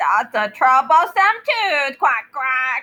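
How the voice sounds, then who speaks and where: Very slow, high-pitched put-on character voice from a woman. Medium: read story.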